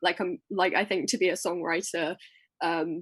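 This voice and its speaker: A woman speaks at a medium pitch in a southern English accent. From Colchester, England. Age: young. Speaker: singer-songwriter. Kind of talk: interview answer. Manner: casual, hesitant.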